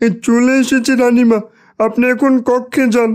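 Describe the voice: A woman does a cartoonish character voice, pitched high and delivered at a fairly slow pace. Her intonation is monotone and flat.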